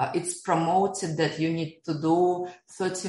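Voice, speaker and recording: A woman with a fairly low voice and a Russian accent speaks in a monotone, flat intonation. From Russia, Siberia. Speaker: economist and blockchain entrepreneur. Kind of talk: interview.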